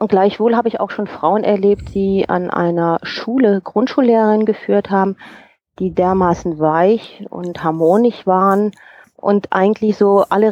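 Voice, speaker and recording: Her intonation fairly even, a woman speaks at medium pitch. She keeps a fairly slow pace. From Rhineland, Germany. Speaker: HR coach and personnel manager. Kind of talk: interview.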